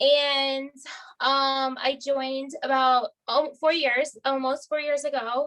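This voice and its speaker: A woman projects a raised voice at a very slow pace, her high pitch bright and sharp, with monotone, flat intonation. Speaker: direct sales star director. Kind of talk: training talk on video call.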